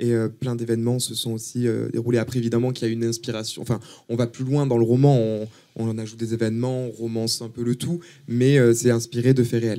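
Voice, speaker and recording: A man speaks at a very fast pace with a dark, mellow tone. His intonation stays monotone and flat. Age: 20s. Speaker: author and art student. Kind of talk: casual interview. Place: studio. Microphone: handheld.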